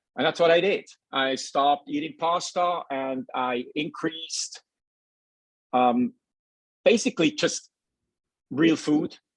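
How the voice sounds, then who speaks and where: Very slowly and with long, frequent pauses, a man with a Swiss accent speaks in a fairly high pitch using lively intonation. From Switzerland. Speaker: nutritionist. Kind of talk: casual chat. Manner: halting.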